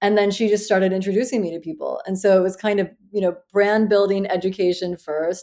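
A woman with a Midwestern US accent speaks in a dark, mellow tone with monotone, flat intonation. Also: medium pitch for a woman, fairly quick pace, hardly any pauses. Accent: General American, Midwestern. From US Midwest (Iowa, Western Pennsylvania, Ohio). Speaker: fashion brand founder, former finance professional. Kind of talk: interview.

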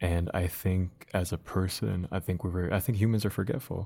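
A man speaks at a moderate pace in a very deep, low pitch with a dark, mellow, somewhat breathy tone. His intonation is fairly even, and the recording is very clean with a silent background. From US Midwest, Dearborn, Michigan. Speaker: poet and community organizer. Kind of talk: casual interview.

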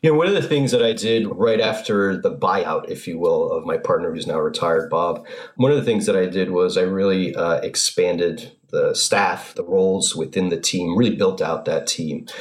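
A man with an American accent at a moderate pace, hardly any pauses, and noticeable background noise. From North Haven, Connecticut. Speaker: financial advisor. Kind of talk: interview.

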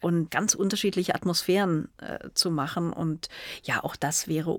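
A woman with a fairly low pitch speaks at a moderate pace. The recording is very clean, with a silent background. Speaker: cinematographer. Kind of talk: interview. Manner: hesitant, many fillers.

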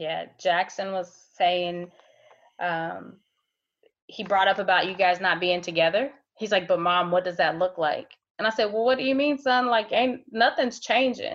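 An ordinary speaking voice with an American accent and ordinary pitch variation. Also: woman, medium pitch for a woman, moderate pace. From Ohio. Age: 30s. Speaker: healthcare worker and mother. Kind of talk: interview. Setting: video call.

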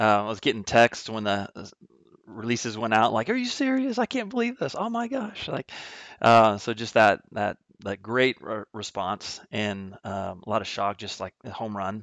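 Moderate pace from a man, with a quiet background. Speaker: triathlon coach and company executive. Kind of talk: casual interview.

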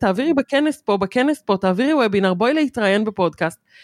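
A woman's fairly high, fairly quick voice with very wide pitch swings, dry and close with no echo, on a very clean recording with a silent background. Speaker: podcast co-host. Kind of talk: casual chat.

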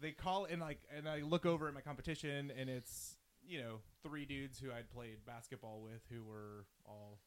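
In an American accent, a man with an unremarkable speaking voice talks at a fairly quick pace, at a medium pitch with ordinary pitch variation. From US South, suburbs of Atlanta, Georgia. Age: 30s. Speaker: sports podcast host. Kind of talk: casual chat.

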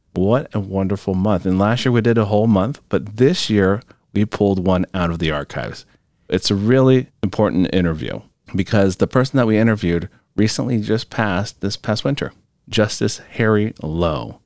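A man with an ordinary speaking voice, fairly low pitch, ordinary pitch variation and a moderate pace, in a dry, close sound with no echo. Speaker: podcast host.

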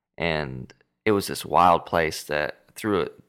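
On a very clean recording with a silent background, a man with an American accent speaks at a very deep, low pitch, his tone bright and sharp with vocal fry. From Southern California. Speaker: musician. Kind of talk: casual chat.

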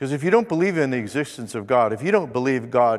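It is a normal speaking voice with lively intonation. The delivery moves at a fairly quick pace. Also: man, very clean recording, silent background. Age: 50s. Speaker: pastor. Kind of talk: sermon. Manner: conversational.

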